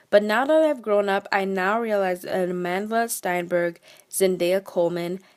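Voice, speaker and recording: Medium pitch from a woman, ordinary pitch variation, and a moderate pace. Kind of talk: casual opinion talk to camera. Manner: mumbles, sometimes stumbles over words.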